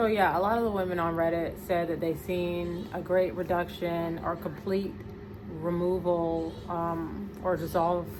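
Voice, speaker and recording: Through audible room echo and noticeable background noise, a woman with an American accent speaks fairly slowly at a fairly low pitch with fairly even intonation. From American West Indian. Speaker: vlogger and homemaker mother. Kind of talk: casual vlog chat.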